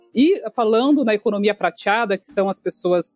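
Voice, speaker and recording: Over music in the background, a woman with a fairly high pitch and lively intonation talks at a moderate pace, the sound dry and close with no echo. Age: 40s. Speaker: economist and speaker on leadership. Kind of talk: podcast interview.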